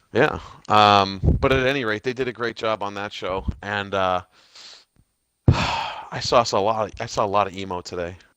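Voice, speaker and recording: Speaking with an American accent, a man has a bright, sharp tone and a fairly low pitch. His pace is moderate. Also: fairly even intonation. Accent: Boston accent, usually hidden, can turn it on. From Boston. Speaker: gaming podcast host. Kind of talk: casual chat.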